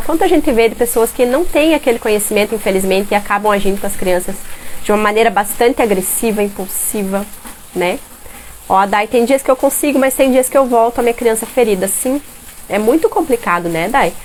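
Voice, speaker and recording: Speech at a fairly quick pace with ordinary pitch variation plays over noticeable background noise. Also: woman. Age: 30s. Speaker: parenting educator. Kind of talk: live stream talk. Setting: live stream at home. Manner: animated.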